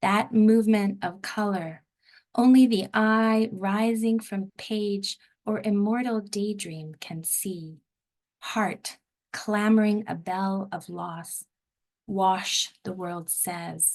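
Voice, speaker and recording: Over a quiet background, a woman of medium pitch speaks at a very slow pace with fairly even intonation. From Southern Africa. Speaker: poet. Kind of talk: poetry reading. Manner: stumbling over words.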